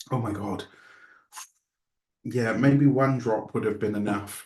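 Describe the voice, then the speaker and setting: Using a put-on character voice, a man speaks in a raspy, medium-pitched tone at a fairly slow pace with fairly even intonation. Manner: pained, exclaiming.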